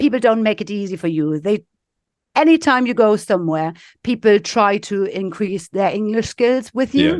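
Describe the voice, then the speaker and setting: A woman with a German accent, medium pitch and lively intonation. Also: moderate pace. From East Germany, Leipzig. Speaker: business executive. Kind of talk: podcast interview.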